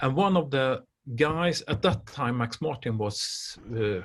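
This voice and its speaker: With a Swedish accent and vocal fry, a man speaks in a very clean recording with a silent background. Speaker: music industry expert. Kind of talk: interview conversation. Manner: halting, many hesitations.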